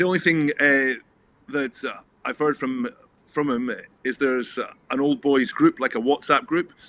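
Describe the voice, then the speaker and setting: A man's bright, sharp voice at a fairly high pitch, moderate pace and ordinary pitch variation. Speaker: rugby coach. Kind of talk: interview. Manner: halting.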